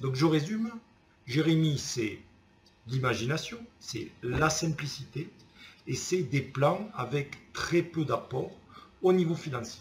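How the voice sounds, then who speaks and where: Somewhat breathy, a man with a Toulouse accent talks at a very slow pace with long, frequent pauses. His pitch is fairly high and his intonation lively. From Toulouse, southern France. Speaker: customer giving a testimonial. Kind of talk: testimonial. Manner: casual, enthusiastic.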